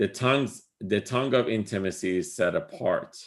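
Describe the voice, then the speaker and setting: With an Iranian accent, a man speaks with ordinary pitch variation on a very clean recording with a silent background. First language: Farsi. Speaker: spiritual teacher. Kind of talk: lecture. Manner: halting, many fillers.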